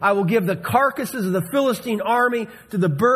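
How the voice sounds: The reading sounds natural. Pitch moves in an ordinary way.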